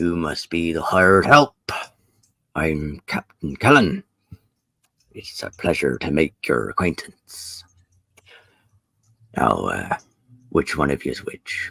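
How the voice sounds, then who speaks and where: A man puts on a character voice with a very deep, low pitch. He talks at a fairly slow pace with long, frequent pauses. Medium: actual play. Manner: hesitant, full of filler sounds; old-fashioned courtesy.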